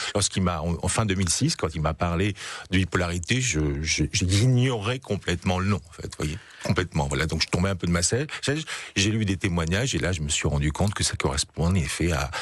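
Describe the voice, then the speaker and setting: With ordinary pitch variation, the talking proceeds fairly quickly. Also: man, very deep, low pitch for a man. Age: 60s. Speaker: association president, bipolar patient advocate. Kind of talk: radio interview.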